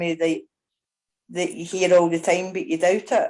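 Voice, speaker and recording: Dark and mellow, a woman's voice sits at a medium pitch. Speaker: audience member asking a question. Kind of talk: live Q&A on a video call. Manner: fast.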